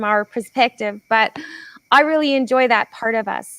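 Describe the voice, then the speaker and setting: A woman with a Canadian accent has an ordinary speaking voice and a moderate pace, recorded in a dry, close sound with no echo. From Canada. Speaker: podcast host, solar company owner. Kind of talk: casual interview chat.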